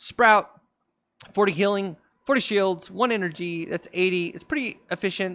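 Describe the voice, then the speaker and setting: A man speaks in a bright, sharp tone. The recording is very clean with a silent background. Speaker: gaming content creator. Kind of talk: casual tier list commentary. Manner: hesitant with fillers.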